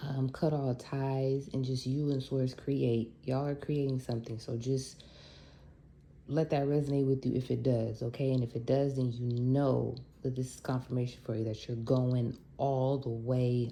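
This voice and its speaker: A woman with a very deep, low pitch, a dark, mellow tone, monotone, flat intonation and a moderate pace. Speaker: tarot reader. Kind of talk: spiritual guidance reading. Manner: casual.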